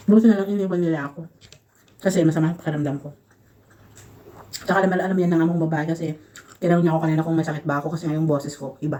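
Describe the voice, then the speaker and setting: A woman with a dark, mellow tone and fairly low pitch speaks very fast with fairly even intonation. Long pauses come often between her words. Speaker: vlogger, overseas domestic worker. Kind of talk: casual vlog while eating. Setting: in her room.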